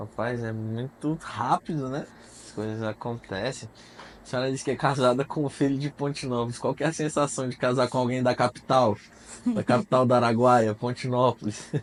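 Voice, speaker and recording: A man talks at a moderate pace in a plain, everyday voice of medium pitch. His intonation stays fairly even, with big swings in loudness. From Mato Grosso, Brazil. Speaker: podcast host. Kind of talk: casual interview.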